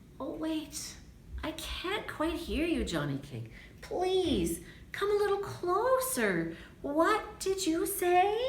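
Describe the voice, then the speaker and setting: In a put-on character voice, a woman talks at a very slow pace and an extremely high pitch, with clear background noise. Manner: feigning weakness to trick.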